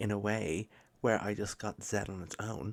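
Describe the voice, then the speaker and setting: A soft-spoken man talks with fairly even intonation. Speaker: maths tutor. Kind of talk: tutorial. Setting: home recording at midnight.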